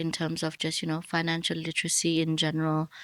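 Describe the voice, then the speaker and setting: A woman's normal speaking voice, fairly low-pitched and fairly quick, on a very clean recording with a silent background. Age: 30s. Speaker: podcast host. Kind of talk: interview.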